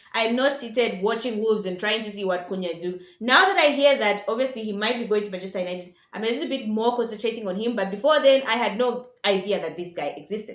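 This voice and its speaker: Talking at a very fast pace with hardly any pauses, a woman with a fairly high pitch, an animated tone and ordinary pitch variation comes through audible room echo and noticeable background noise. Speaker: football vlogger. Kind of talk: casual vlog commentary.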